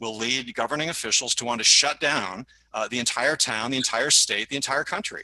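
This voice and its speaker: A man's bright, sharp voice moves along at a fairly quick pace. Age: 60s. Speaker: member of the public at a town meeting. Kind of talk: public comment. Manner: halting, many fillers.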